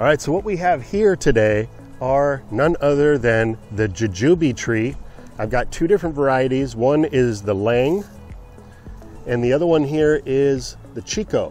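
Faint music plays in the background behind a man speaking at a fairly slow pace. The sound is dry with no echo. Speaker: gardening channel host. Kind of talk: casual vlog chat. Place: garden. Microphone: phone near.

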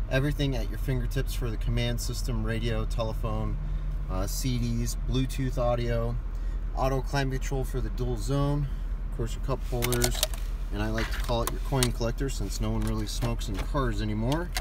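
Noticeable background noise sits under speech at a moderate pace, and the sound is dry with no echo. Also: man. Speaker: car salesperson. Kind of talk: product walkaround tour. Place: car. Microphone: phone near.

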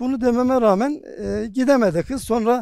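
His tone is dark and mellow. The man speaks at a high pitch with ordinary pitch variation. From Bayburt, northeastern Turkey. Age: 40s. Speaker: district mufti. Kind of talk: interview monologue. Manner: formal.

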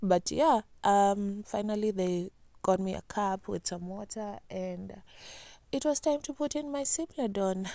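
A woman's voice carries a dark, mellow tone and lively intonation. The sound is dry, with no echo. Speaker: vlogger. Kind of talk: casual vlog chat.

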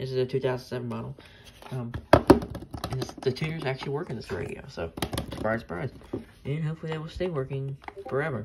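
The pace of the speech is fairly quick. Loud noise sits in the background throughout. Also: woman. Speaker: radio collector. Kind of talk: casual unboxing vlog chat. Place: home room. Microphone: phone near.

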